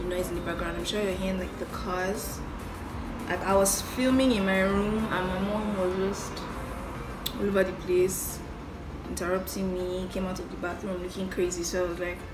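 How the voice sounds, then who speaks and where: A woman talks at a moderate speed while music runs behind her. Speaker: beauty vlogger. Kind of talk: tutorial. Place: home room. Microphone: phone near.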